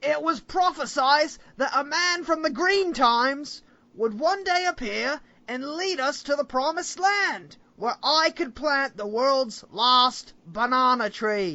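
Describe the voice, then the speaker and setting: A put-on character voice with an Australian accent, high in pitch, at a fairly slow pace. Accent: bad put-on Australian. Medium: actual play. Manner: excitable.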